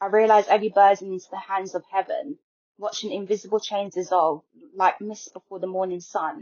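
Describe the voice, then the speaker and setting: This woman has an ordinary speaking voice at a medium pitch with ordinary pitch variation. She talks at a fairly quick pace. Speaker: spoken word poet. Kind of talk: poetry reading.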